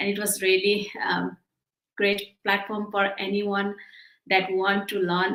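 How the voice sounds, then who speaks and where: A woman's medium-pitched voice comes at a fairly slow pace. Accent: non-native. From Bhutan. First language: not English. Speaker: digital entrepreneur. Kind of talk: interview. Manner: halting.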